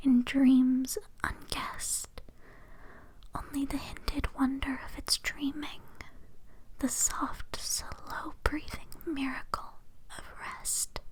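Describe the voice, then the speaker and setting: Over noticeable background noise, someone whispers at a very slow pace, with long, frequent pauses. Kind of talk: poetry reading; ASMR sleep reading. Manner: whispered, soft-spoken.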